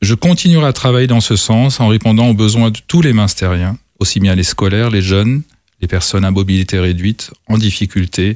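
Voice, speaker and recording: The recording is very clean with a silent background and a dry, close sound with no echo. The speaker uses an ordinary speaking voice at a moderate pace, with ordinary pitch variation. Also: man. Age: 60s. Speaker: mayor and election candidate. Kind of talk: political debate.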